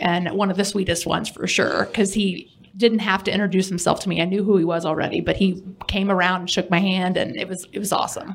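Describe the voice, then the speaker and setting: Fairly quick pace, with noticeable background noise. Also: woman. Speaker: former colleague. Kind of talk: casual chat. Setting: studio.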